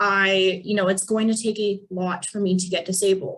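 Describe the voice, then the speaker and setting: In an American accent, a woman talks at a medium pitch with fairly even intonation in a plain, everyday voice. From Pennsylvania, Allegheny National Forest area. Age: 20s. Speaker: financial advisor. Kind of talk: webinar presentation. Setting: video call.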